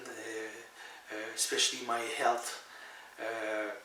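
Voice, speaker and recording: Noticeable background noise and audible room echo surround a voice with a French-Canadian accent. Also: man. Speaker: author. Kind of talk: spiritual monologue to camera. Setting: at home. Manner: halting, many fillers.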